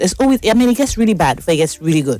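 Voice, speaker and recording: Animated in tone, a woman speaks at a medium pitch with very wide pitch swings. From Nigeria. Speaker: talk show host. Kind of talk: casual monologue. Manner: fast.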